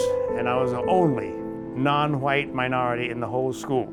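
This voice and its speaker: With an American accent, a man talks as music runs in the background. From Southern United States. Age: 80s+. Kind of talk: documentary interview answer.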